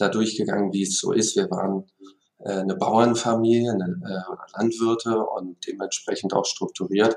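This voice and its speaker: A man talks at a moderate pace in a fairly low pitch with fairly even intonation. He has a normal speaking voice. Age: 40s. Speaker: company executive. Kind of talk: interview.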